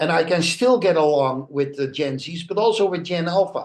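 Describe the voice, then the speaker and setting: Talking at a moderate pace, a man has a fairly high pitch. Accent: Dutch. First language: Dutch. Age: 60s. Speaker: international speaker and author. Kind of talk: podcast interview. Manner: halting, many fillers.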